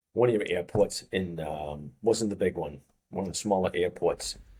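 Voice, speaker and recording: This is a man speaking. He has a Boston accent. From US Northeast, Boston. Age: 50s. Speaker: fitness coach. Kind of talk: podcast interview. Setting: studio.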